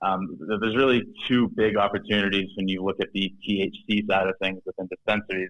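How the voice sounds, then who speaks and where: Someone with a slight Boston accent speaks at a fairly quick pace. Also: man. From Boston, Massachusetts. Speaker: startup founder and CEO. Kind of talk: podcast interview. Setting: studio. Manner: halting, many fillers and restarts.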